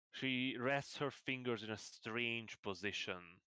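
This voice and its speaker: In a dry, close recording with no echo, a man speaks very slowly with a bright, sharp tone and fairly even intonation. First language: not English. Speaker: game master. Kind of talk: tabletop roleplay narration. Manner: halting.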